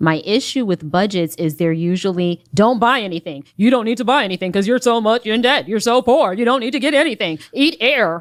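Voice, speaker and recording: With a plain, everyday voice, a woman speaks fairly high and at a fairly quick pace, her intonation lively and hardly any pauses between words. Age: 40s. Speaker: small business owner seeking budget help. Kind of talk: heated debate. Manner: defensive.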